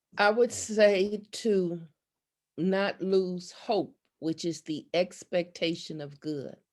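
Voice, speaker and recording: A woman speaks at a very slow pace. Her loudness swings widely while her pitch varies in an ordinary way. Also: medium pitch for a woman. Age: 70s. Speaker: missionary and TV talk show host, coach. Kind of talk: podcast interview.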